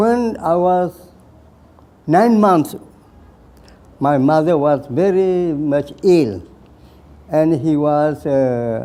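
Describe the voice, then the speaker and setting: A man at a very slow pace with long, frequent pauses, fairly high in pitch with a dark, mellow tone, lively intonation and very even loudness. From Burma (Karen area). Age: 80s+. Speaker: war veteran. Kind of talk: life story interview. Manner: halting.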